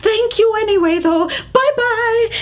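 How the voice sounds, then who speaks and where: A woman uses a put-on character voice that is squeaky and extremely high in pitch, at a fairly slow pace over light background noise. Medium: read story. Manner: fluttery, hesitant, polite.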